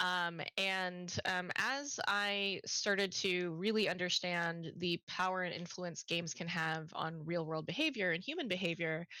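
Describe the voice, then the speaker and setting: A woman's fairly low voice with a bright, sharp tone, ordinary pitch variation, a fairly slow pace and hardly any pauses. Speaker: games user researcher. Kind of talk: panel discussion. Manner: halting, many fillers; clear, eloquent.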